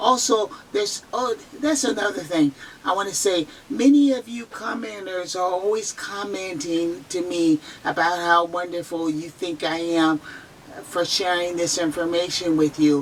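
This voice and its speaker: Against noticeable background noise, a woman with fairly low pitch speaks at a moderate pace with lively intonation. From San Francisco Bay Area, US. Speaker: near-death experiencer sharing testimony. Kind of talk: testimony. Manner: halting, repeats words; slightly slurred speech.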